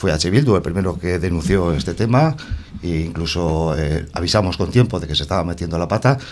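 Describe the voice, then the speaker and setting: A man's very deep, low voice at a moderate pace, ordinary in pitch variation, over noticeable background noise. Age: 50s. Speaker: councillor, election candidate and teacher. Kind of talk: radio election debate. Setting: radio studio.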